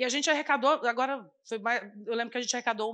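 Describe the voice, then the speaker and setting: A woman's high-pitched voice with a bright, sharp tone against a quiet background. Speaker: community kitchen coordinator; panelist. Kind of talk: panel debate. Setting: stage with live audience. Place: stage. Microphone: handheld.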